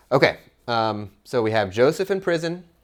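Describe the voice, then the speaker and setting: The speaker's voice has vocal fry, heard in a very clean recording with a silent background. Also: man. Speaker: podcast host and Bible teacher. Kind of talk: Bible study teaching with small group. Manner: fast; casual, conversational.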